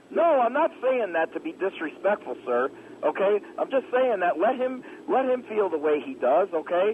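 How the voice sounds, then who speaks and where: The pitch swings very widely. Noticeable background noise sits behind the voice. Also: man, extremely high pitch for a man, moderate pace. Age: 30s. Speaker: caller, Marine veteran. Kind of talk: radio call-in.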